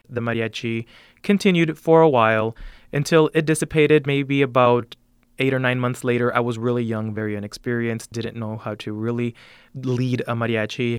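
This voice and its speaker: In a very clean recording with a silent background, a man with an American accent uses an ordinary speaking voice at medium pitch, with ordinary pitch variation and a moderate pace. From El Sereno, Los Angeles. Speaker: mariachi bandleader. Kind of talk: interview.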